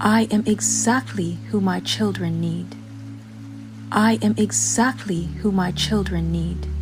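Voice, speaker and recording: Music plays behind a woman speaking at a very slow pace. Her tone is calm. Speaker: affirmations guide. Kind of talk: affirmation reading. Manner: calm, slow.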